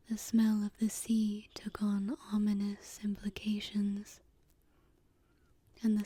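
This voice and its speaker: This soft-spoken voice moves at a very slow pace. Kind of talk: ASMR story reading.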